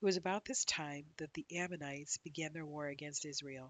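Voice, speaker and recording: At a moderate pace, a woman with a very deep, low pitch speaks in a calm, soothing tone with ordinary pitch variation. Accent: American. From Ohio, USA. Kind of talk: calm Bible reading. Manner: calm, soothing, soft-spoken.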